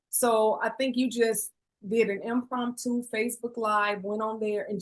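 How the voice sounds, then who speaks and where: The speaker has an American accent. The pace is fairly slow. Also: woman. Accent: country twang. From Chicago. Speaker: podcast host. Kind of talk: podcast interview.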